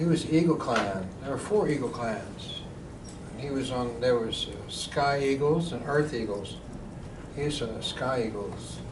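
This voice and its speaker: A man with an American accent and a fairly high pitch, very slow, with audible room echo and noticeable background noise. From Tulsa, Oklahoma. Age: 60s. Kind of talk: public talk. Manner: casual, conversational.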